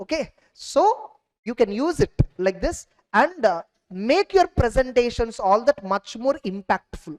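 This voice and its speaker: With an Indian accent, a woman speaks at a fairly high pitch with lively intonation, the sound dry and close with no echo. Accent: Indian English, Telugu. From India, Telugu-speaking region. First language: Telugu. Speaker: CA exam teacher. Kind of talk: lecture. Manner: halting.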